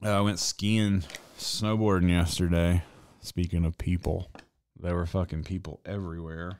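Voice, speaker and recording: A man with an American accent and a very deep, low pitch speaks at a fairly slow pace with fairly even intonation in a very clean recording with a silent background. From US South. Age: 40s. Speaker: tattoo artist and podcast streamer. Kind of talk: casual chat. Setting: live stream from a home back room.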